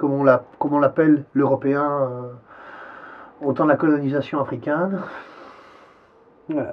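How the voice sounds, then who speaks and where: At a moderate pace, a man with a fairly high pitch speaks in a monotone, flat intonation, leaving long, frequent pauses. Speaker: interviewee. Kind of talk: interview. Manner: halting.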